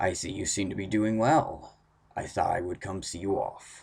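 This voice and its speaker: A man puts on a raspy character voice of fairly low pitch at a moderate pace, in a very clean recording with a silent background. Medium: read story. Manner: formal, courteous.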